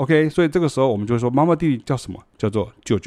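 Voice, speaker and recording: The speaker is a man with a medium pitch and ordinary pitch variation. He talks at a very fast pace. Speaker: music teacher. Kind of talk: casual lecture. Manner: conversational.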